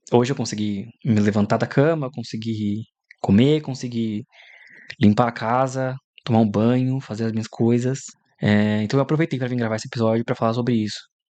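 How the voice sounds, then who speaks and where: The speaker is a man with a dark, mellow tone at medium pitch. He moves at a fairly quick pace with fairly even intonation. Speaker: podcaster. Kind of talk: personal monologue. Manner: halting.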